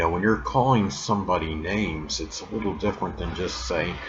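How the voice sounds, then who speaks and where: This man's voice sits very deep and low, with lively intonation. Noticeable background noise runs underneath. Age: 50s. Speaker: YouTube astrology channel host. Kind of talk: casual monologue vlog. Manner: hesitant, many fillers.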